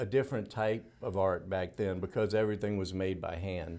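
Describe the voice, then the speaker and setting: Talking at a moderate pace, a man uses a Louisiana accent. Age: 60s. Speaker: dental technician. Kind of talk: interview.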